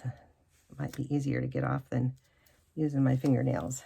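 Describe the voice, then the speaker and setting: A woman is speaking. Her pace is fairly slow. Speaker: papercraft demonstrator. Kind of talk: tutorial. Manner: hesitant, many filler words.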